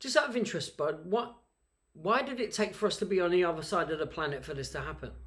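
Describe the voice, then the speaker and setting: A man with a London accent talks at a very fast pace, high-pitched and with lively intonation. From South London. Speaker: podcast host. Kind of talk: casual chat.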